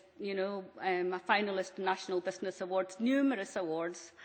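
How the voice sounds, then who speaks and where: In a Scottish accent, a woman with a medium pitch speaks at a moderate pace with fairly even intonation. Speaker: business owner on a panel. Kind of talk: panel discussion. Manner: hesitant, many fillers.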